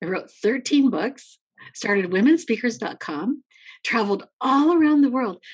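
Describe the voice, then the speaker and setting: A woman speaks at a high pitch with very wide pitch swings. Her pace is moderate. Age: 60s. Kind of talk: casual interview chat. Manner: animated.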